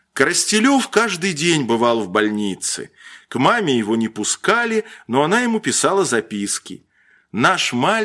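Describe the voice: The clip is plain reading aloud.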